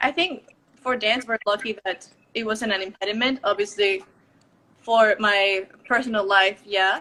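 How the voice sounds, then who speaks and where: A woman speaks with a Spanish accent and a fairly high pitch. Her tone is bright and sharp. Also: ordinary pitch variation, fairly slow pace. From Mexico. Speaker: professional ballet dancer. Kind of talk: live video interview.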